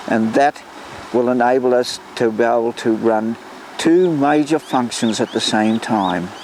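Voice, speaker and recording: Speaking fairly slowly in an Australian accent, a man holds a medium pitch with ordinary pitch variation and very even loudness over noticeable background noise. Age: 80s+. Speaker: volunteer historian and landscaper. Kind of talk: interview monologue.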